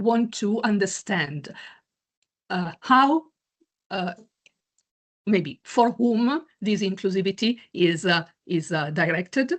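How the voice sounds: A woman's slow-paced speech with ordinary pitch variation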